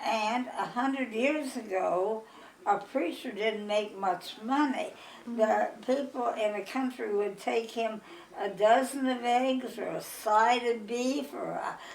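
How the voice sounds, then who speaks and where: A woman with a Midwestern accent, very slow pace, noticeable background noise. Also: fairly high pitch for a woman, ordinary pitch variation. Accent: American Midwestern. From Iowa, USA. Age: 80s+. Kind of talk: life story interview. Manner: joyful, energetic.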